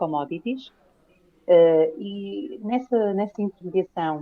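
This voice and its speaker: A woman's voice in a Lisbon accent, at a very slow pace, with ordinary pitch variation. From Portugal, Lisbon. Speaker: private investigator, corporate fraud expert. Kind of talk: interview. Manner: halting, many fillers.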